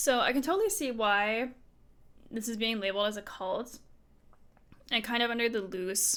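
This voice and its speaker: A woman speaks at a fairly slow pace with a bright, sharp tone. Her pitch is fairly high, with ordinary pitch variation. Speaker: streamer. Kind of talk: reading aloud with commentary. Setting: live stream. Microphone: new microphone after broken cable.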